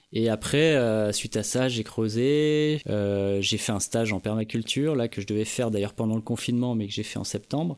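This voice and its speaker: A man with a medium-pitched voice and ordinary pitch variation talks at a moderate pace with hardly any pauses, an unremarkable speaking voice on a very clean recording with a silent background. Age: 30s. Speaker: podcast host, sound engineer. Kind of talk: casual chat.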